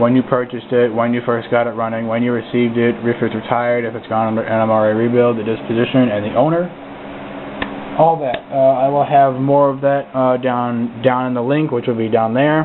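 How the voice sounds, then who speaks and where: A man with a medium pitch and fairly even intonation talks at a fairly quick pace, with noticeable background noise present. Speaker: model railroad hobbyist vlogger. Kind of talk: casual video review. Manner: halting, many filler words.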